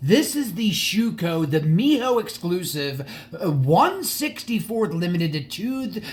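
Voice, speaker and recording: A man speaks very slowly, his high pitch swinging very widely. Noticeable background noise runs under the recording. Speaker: die-cast model car collector and YouTuber. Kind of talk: casual video monologue. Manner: halting.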